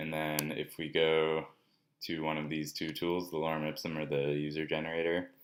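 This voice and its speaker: A man talks in a very deep, low pitch with monotone, flat intonation. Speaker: student presenting a class project. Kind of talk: software demo walkthrough. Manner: casual with many fillers.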